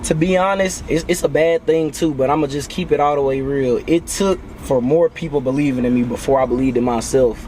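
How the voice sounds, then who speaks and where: A man speaks at fairly high pitch with ordinary pitch variation and hardly any pauses. Noticeable background noise runs beneath him. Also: fairly quick pace. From Nashville area, Tennessee. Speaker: rapper. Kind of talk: casual interview chat. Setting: in a car at a festival.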